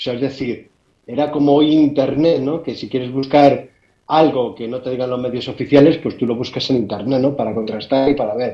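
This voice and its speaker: The man's voice sits at a medium pitch and his intonation stays fairly even. He talks fairly quickly. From Spain. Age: 60s. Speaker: amateur radio operator. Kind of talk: interview storytelling. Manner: halting, repeats words.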